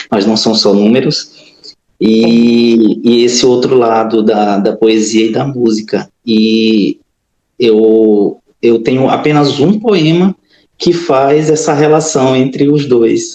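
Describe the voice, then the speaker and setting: A man speaks very slowly with very even loudness, his medium-pitched voice dark and mellow in tone with ordinary pitch variation. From Maranhão, Brazil. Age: 30s. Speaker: accountant, writer and musician. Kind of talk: interview. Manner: hesitant, many fillers.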